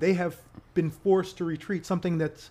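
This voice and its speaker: Recorded very cleanly against a silent background, a man speaks at a high pitch. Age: 40s. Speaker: activist and finance company owner. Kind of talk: casual interview.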